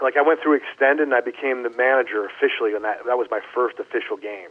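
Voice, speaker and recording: A man's fairly high voice in a Canadian accent, very fast, with lively intonation. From Canada. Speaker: former baseball player. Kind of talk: casual interview. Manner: animated.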